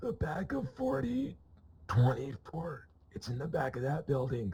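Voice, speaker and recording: In a raspy, put-on character voice, a man speaks at a medium pitch and moderate pace with ordinary pitch variation. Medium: machinima. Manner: offhand, deadpan, evasive.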